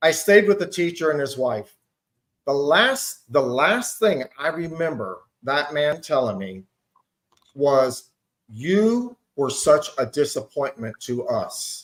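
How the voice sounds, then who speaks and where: A man talks at a very slow pace. His fairly high voice swings very widely in pitch. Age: 60s. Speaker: panel guest. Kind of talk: casual chat.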